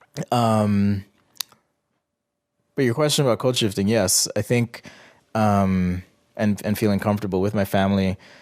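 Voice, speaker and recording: A man's fairly low voice with fairly even intonation and very even loudness, broken by long, frequent pauses. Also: moderate pace. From Jamaica. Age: 30s. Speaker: interview guest. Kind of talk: interview. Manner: hesitant, with fillers.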